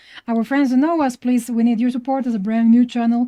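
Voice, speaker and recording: Talking at a very fast pace, a woman uses a fairly high pitch, a dark, mellow tone and fairly even intonation. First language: Spanish. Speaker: podcast co-host, artist. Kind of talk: casual chat.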